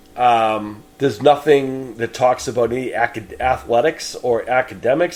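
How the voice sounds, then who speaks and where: A man speaks at a moderate pace with a New England accent. Noticeable background noise is present. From New England, Boston. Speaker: podcast host, horror film reviewer. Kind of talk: solo podcast film review. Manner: casual, hesitant with fillers.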